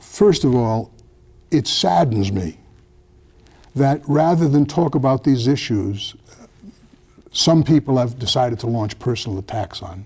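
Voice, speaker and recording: A man speaks in a dark, mellow, somewhat breathy tone with lively intonation. He leaves long, frequent pauses. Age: 70s. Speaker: retired federal prosecutor, former police oversight commissioner. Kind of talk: TV interview. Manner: halting, many false starts and fillers.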